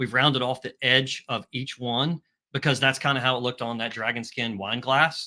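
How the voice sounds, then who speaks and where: On a very clean recording with a silent background, a man speaks at a medium pitch in a bright, sharp tone with fairly even intonation. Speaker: paintball marker company owner presenting a product. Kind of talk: live product presentation. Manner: fast; casual, hesitant with fillers.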